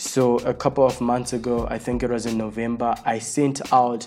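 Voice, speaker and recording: A man's dark, mellow voice at a medium pitch, monotone and flat, at a fairly slow pace. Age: 20s. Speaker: podcast host. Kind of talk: solo podcast monologue.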